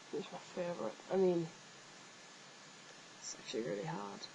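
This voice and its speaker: A woman speaks with an English accent. Her pitch is fairly low. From northeast England, Billingham near Middlesbrough. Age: 20s. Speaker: vlogger, fan page admin. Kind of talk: casual vlog, answering viewer questions. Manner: hesitant, many fillers.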